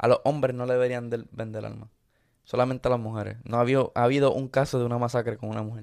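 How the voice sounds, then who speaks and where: A man at a medium pitch talks very fast in a very clean recording with a silent background. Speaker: podcast co-host, content creator. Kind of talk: casual chat. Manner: animated.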